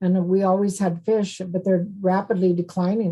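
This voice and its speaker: A woman speaks at a medium pitch with a dark, mellow tone. Her delivery is monotone and flat, and somewhat breathy. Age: 70s. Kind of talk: podcast interview. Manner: conversational, with fillers and repetitions.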